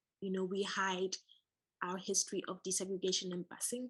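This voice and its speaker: In an ordinary speaking voice, a woman talks at a moderate pace with a medium pitch and fairly even intonation. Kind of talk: interview question.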